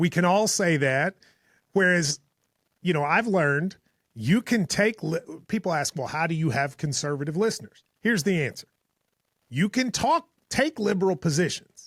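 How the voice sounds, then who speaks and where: At a moderate pace, a high-pitched man uses lively intonation and long, frequent pauses, in a very clean recording with a silent background and a dry, close sound with no echo. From Eastern Kentucky. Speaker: radio and podcast host. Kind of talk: casual chat.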